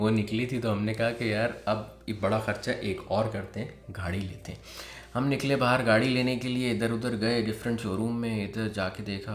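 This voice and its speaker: Noticeable background noise accompanies a man speaking at medium pitch. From Pakistan. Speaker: vlogger. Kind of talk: personal story told to camera. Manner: casual.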